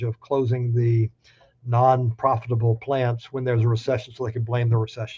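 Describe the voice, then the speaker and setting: Speaking at a very fast pace with an American accent, a man has a medium pitch and a dark, mellow tone that is somewhat breathy. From US South. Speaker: labor law expert speaker. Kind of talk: webinar presentation. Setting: virtual town hall.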